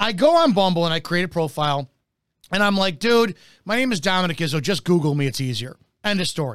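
This man talks at a very fast pace in a high-pitched, animated tone with lively intonation. The recording is very clean, and the background is silent. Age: 40s. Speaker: talk show host, retired police officer. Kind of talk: casual chat.

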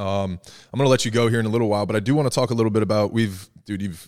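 Speaking at a very fast pace with an American accent, a man is heard on a very clean recording against a silent background. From New Jersey. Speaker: podcast host, former college baseball player. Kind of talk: casual chat.

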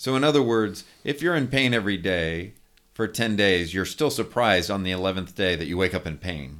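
A man with an American accent talks in a normal speaking voice at a fairly low pitch. His pace is fairly quick, on a very clean recording with a silent background. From California. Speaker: theologian. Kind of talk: interview.

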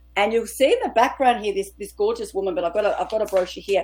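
A woman speaks with an Australian accent. Her pitch sits fairly high. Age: 50s. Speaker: author and women's coach. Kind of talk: interview.

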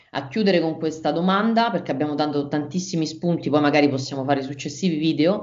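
A woman speaks very fast in a very deep, low voice with ordinary pitch variation. Audible room echo surrounds her. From Rome, Italy. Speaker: podcast host, marketing consultant. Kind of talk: interview.

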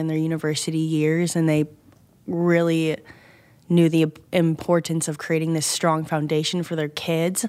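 A woman talks at a moderate pace in an ordinary speaking voice. Her pitch is fairly low. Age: 20s. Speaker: church school admissions manager. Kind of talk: casual chat.

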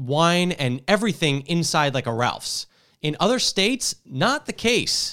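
A man with an American accent has an ordinary speaking voice at a fairly high pitch. He keeps a moderate pace on a very clean recording with a silent background. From New Jersey. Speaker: tech reporter and podcast host. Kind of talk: casual tech podcast chat.

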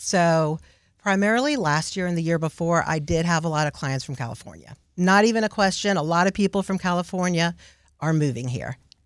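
A woman with a fairly low pitch speaks at a moderate pace with ordinary pitch variation in a plain, everyday voice, on a very clean recording with a silent background. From Houston, Texas. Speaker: realtor. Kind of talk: radio interview.

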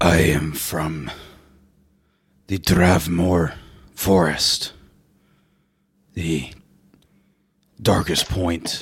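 A man's put-on character voice, raspy and very deep, at a very slow pace with long, frequent pauses. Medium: actual play. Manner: slow, stilted, formal.

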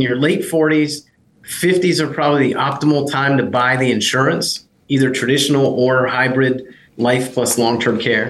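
Talking at a moderate pace and a medium pitch, this man has an unremarkable speaking voice. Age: 40s. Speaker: long term care insurance consultant. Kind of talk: interview conversation.

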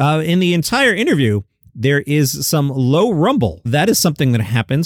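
Using an ordinary speaking voice, a man talks at a fairly quick pace with lively intonation. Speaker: comedy news podcaster. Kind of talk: solo commentary. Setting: home studio.

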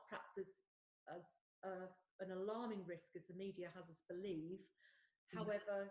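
A woman with an English accent speaks in a somewhat breathy voice. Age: 50s. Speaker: podcast host. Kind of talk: interview. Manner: hesitant, many fillers.

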